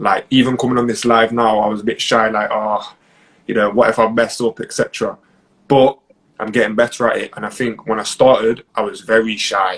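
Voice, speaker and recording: A man with an East Midlands accent speaks at a medium pitch in a flat monotone. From Nottingham, England. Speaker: property investor. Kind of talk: interview. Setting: live stream.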